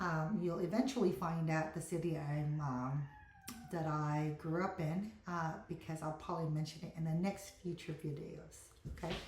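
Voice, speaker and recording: A woman's fairly low voice with an American accent and fairly even intonation, with audible room echo and noticeable background noise. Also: moderate pace. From Philippines (Mindanao), in US about 40 years. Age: 50s. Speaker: vlogger. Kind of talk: casual vlog talk. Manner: halting, many fillers.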